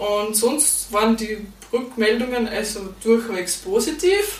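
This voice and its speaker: A woman with an Austrian accent speaks at a very slow pace and a fairly high pitch. Noticeable background noise and audible room echo surround her voice. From Austria, Styria. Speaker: podcaster and horse stable owner. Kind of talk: interview.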